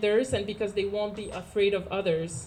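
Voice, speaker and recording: A woman talks with a Quebec French accent. Her pace is fairly quick. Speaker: housing cooperative resident. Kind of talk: public speech. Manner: halting.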